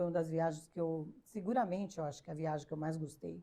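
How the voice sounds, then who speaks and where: At a very fast pace, a woman speaks with a dark, mellow tone, a fairly low pitch, and fairly even intonation. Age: 60s. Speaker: business founder. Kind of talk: interview. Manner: hesitant, many fillers.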